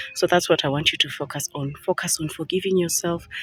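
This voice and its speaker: A woman's fairly low voice at a fairly quick pace over noticeable background noise. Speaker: lifestyle vlogger. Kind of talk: motivational talk. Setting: outdoors.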